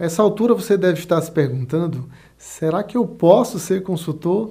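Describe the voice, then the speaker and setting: Against a quiet background, a man with a Brazilian accent speaks at a moderate pace in a high pitch, his tone dark and mellow and his pitch variation ordinary. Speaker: business consultant and online course instructor. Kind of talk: motivational pep talk, sales-style pitch. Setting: studio, video recording. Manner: upbeat, persuasive, energetic; direct, addresses viewer.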